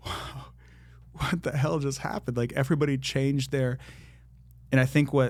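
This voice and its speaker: With an American accent, a man speaks at a medium pitch, breaking often into long pauses. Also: moderate pace. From US Midwest (Columbus, Ohio). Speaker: singer. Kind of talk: casual chat. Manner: animated.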